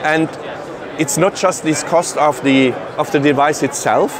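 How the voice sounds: A man's fairly high-pitched voice at a fairly slow pace, over clear background noise. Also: ordinary pitch variation.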